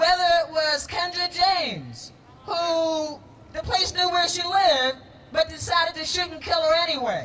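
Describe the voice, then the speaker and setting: Over noticeable background noise, a woman speaks at a moderate pace with an extremely high pitch and ordinary pitch variation. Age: 60s. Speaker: city councilor. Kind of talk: public speech at a rally.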